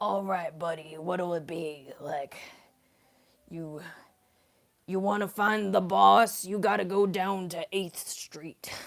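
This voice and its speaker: In a raspy put-on character voice at middle pitch, the speaker moves at a fairly slow pace with long, frequent pauses. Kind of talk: casual, street-tough.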